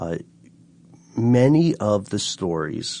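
Against a quiet background, the words come at a very slow pace. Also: man. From Tennessee. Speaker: car podcast co-host. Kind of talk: casual chat. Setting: studio.

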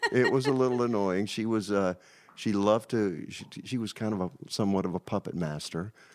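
With an American accent and an unremarkable speaking voice, a man talks fairly quickly at a fairly low pitch with ordinary pitch variation. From Virginia. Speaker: record label executive. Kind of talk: interview.

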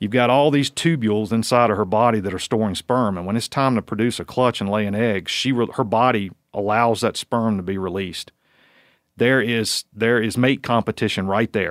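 A man with an American accent and a plain, everyday voice talks at a fairly quick pace and medium pitch, in a very clean recording with a silent background and a dry, close sound with no echo. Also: fairly even intonation. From Virginia, US. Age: 40s. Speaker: wildlife researcher. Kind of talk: casual interview chat.

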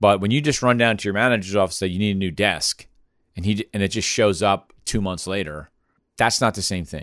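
In a very clean recording with a silent background, a man speaks at a fairly quick pace in a fairly low pitch with ordinary pitch variation. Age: 40s. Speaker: podcast host, consulting firm executive. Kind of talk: casual business chat. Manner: halting, with fillers and repeats.

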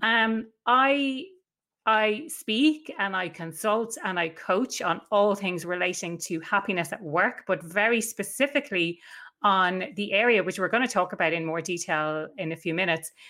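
With an Irish accent, a woman talks at medium pitch and a moderate pace in a bright, sharp tone. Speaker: workplace happiness consultant and coach. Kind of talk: interview. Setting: video call.

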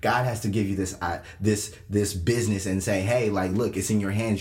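With audible room echo, a man with a fairly low pitch speaks at a moderate pace. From Kenya. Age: young. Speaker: podcast co-host, youth pastor. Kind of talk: casual chat.

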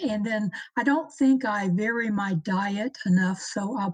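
A woman speaks at medium pitch with ordinary pitch variation. Her voice is somewhat breathy. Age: 60s. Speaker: listener asking a question. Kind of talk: live Q&A.

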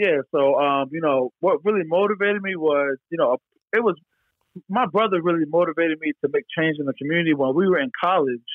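A man with a Philadelphia accent, high pitch and a fairly quick pace. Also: ordinary pitch variation. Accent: Philadelphia-area American English. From Pennsylvania, Philadelphia area. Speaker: business founder. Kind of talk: interview. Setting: phone call.

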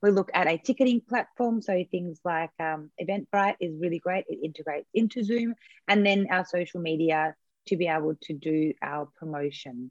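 A woman with an Australian accent talks at a moderate pace in a fairly low pitch with lively intonation, the sound dry and close with no echo. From Australia (born in USSR). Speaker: event and webinar coach. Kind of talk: interview, casual explanatory chat.

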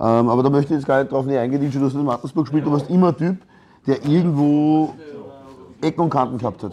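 A man talks at a very fast pace, broken by long, frequent pauses. His tone is dark and mellow. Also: fairly high pitch for a man, ordinary pitch variation. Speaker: podcast host. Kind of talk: casual chat. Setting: sports ground canteen.

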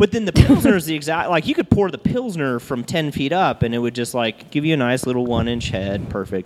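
A man talks at a fairly quick pace with a fairly high pitch and very wide pitch swings. Noticeable background noise runs underneath. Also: hardly any pauses. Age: 30s. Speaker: brewery owner and bartender. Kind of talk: casual chat. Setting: live show recorded in a brewery bar.

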